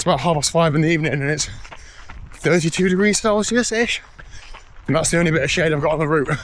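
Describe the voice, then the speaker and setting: With an English accent, a man talks at a very fast pace in a fairly high pitch, with ordinary pitch variation. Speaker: triathlete vlogger. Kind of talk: casual vlog. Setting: outdoors.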